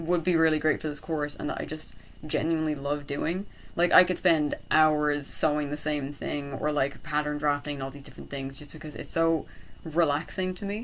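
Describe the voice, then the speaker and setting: A woman talks with a very deep, low pitch at a fairly quick pace. Her intonation is monotone and flat. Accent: Irish. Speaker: art and design college applicant. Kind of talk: casual talk to camera. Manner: hesitant, many fillers.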